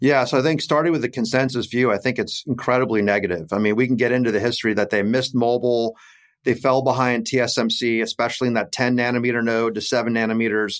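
The speech moves at a very fast pace with very even loudness. The recording is very clean, with a silent background. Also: man, medium pitch for a man. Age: 50s. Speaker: investment fund executive. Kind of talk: interview. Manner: animated.

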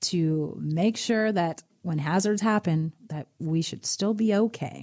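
A woman talks at a fairly low pitch with a dark, mellow tone and ordinary pitch variation. Her recording is very clean, the background silent. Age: 60s. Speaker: financial advisor. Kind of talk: casual chat.

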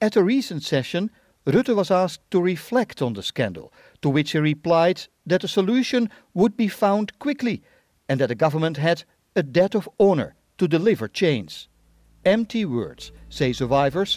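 Recorded dry and close with no echo and a silent background, a man with a high voice speaks at a moderate pace, his pitch swinging very widely. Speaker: radio reporter. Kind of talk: scripted news reporting. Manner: steady, formal newsreading delivery.

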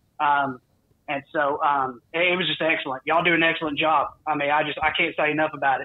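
Speaking in a Southern US accent, a man races along at a very fast pace, his fairly high voice held to a monotone, flat intonation. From US South. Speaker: sports podcast host, guest. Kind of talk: casual chat. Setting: phone call.

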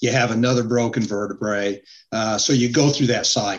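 In an American accent, a man with a plain, everyday voice speaks at a medium pitch. His pace is moderate and his intonation fairly even. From US West (Utah). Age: 60s. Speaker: cancer survivor and author. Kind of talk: interview.

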